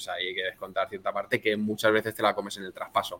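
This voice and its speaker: A man talks at a very fast pace. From Spain, Elda (Alicante). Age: 30s. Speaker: restaurant chain founder, former investment banker. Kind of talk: podcast interview.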